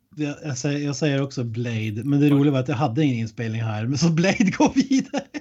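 The voice moves at a very fast pace with a dark, mellow tone and ordinary pitch variation. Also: man, fairly high pitch for a man. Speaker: podcast co-host. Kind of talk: casual chat. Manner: animated.

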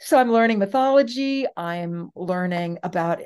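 Over a quiet background, a woman with an American accent and an unremarkable speaking voice speaks at a moderate pace with lively intonation. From US West Coast. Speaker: professor. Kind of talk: interview.

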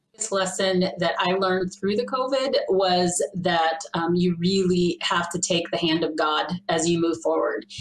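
A woman's fairly low voice at a fairly slow pace, hardly any pauses, ordinary pitch variation and very even loudness, over noticeable background noise. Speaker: pastor. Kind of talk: interview conversation.

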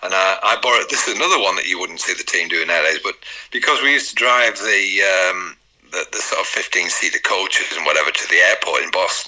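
A man's very fast speech over noticeable background noise. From northern England. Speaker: retired footballer. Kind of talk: interview.

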